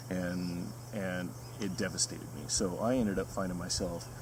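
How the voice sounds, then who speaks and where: A man with an American accent speaks at a very deep, low pitch, with vocal fry and lively intonation. Audible room echo surrounds his voice. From US West Coast, Southern California. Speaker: retreat coach. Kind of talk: promotional video. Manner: halting with fillers.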